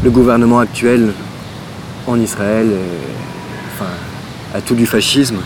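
Noticeable background noise is heard behind a man with a medium pitch. He speaks very slowly with fairly even intonation and long, frequent pauses. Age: 30s. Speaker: visual artist. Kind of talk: interview. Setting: outdoors in a park. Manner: halting.

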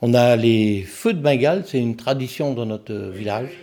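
A man speaks at a fairly slow pace. His medium-pitched voice has lively intonation. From French Flanders, Nord. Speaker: deputy mayor. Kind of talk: interview.

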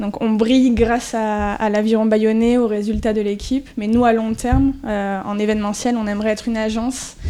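A woman's fairly high-pitched voice in a monotone, flat intonation, at a moderate pace with hardly any pauses, over noticeable background noise. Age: 30s. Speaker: sports club event project manager. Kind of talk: interview answers to school pupils.

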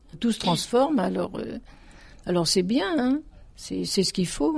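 With vocal fry at a medium pitch, a woman speaks at a very slow pace. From France, Paris suburbs (Dugny, Aubervilliers). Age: 70s. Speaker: retired accordion teacher. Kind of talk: testimony.

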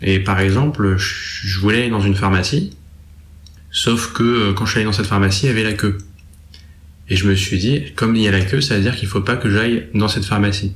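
A man with a fairly low, somewhat breathy voice talks at a fairly quick pace with long, frequent pauses, ordinary pitch variation and very even loudness, with audible room echo. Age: 20s. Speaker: young man with psychosis history. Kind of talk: testimony. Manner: halting.

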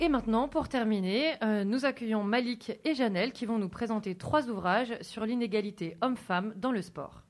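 The speaker barely pauses, with ordinary pitch variation throughout. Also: woman, fairly high pitch for a woman, moderate pace. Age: 30s. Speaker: sports journalist, magazine editor-in-chief. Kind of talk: school radio interview. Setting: school web radio studio. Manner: hesitant, with fillers and repetitions.

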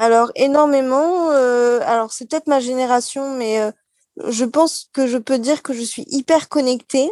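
A woman's high voice at a fairly slow pace, with ordinary pitch variation and a dry, close sound with no echo. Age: 30s. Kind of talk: live talk show interview. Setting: café, live broadcast.

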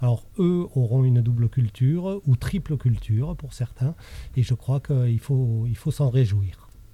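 A somewhat breathy man's voice at medium pitch, fairly slow in pace, with ordinary pitch variation. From France, childhood in Chile and Morocco. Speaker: school principal. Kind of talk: interview. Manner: hesitant.

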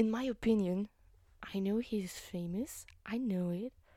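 A woman speaks at a medium pitch with a somewhat breathy, dark and mellow tone and ordinary pitch variation, recorded dry and close with no echo. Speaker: solo podcaster. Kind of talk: casual solo monologue. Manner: halting, many fillers.

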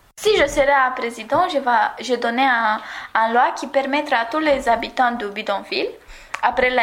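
A woman's high voice at a fairly slow pace. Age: 20s. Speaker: former civic service volunteer. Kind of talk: recorded testimony. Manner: halting.

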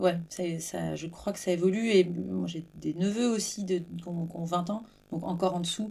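This woman's voice has a dark, mellow tone. The recording is very clean, with a silent background. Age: 40s. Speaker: podcast host. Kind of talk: casual interview.

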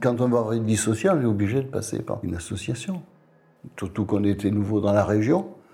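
Noticeable background noise accompanies a man talking at a moderate pace. His pitch is fairly low, with ordinary variation. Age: 70s. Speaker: retired charity volunteer. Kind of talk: interview testimony.

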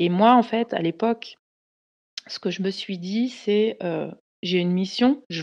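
A woman speaks at a medium pitch and a moderate pace with ordinary pitch variation. The sound is dry and close with no echo over a quiet background. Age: 30s. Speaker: career coach and entrepreneur. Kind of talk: personal testimony. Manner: halting, many fillers and repetitions.

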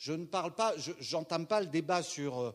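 A man speaks in a high voice with lively intonation, captured in a very clean recording against a silent background. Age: 60s. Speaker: stage actor. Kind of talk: post-show audience discussion. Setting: theatre with audience.

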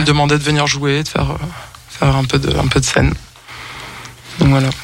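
There's audible room echo and noticeable background noise as a man speaks. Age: 30s. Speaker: musician. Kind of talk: radio interview. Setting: radio studio.

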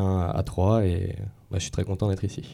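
A monotone voice with flat intonation and a dark, mellow tone comes through in a very clean recording with a silent background. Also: man. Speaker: engineering student. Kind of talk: panel discussion. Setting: studio with audience.

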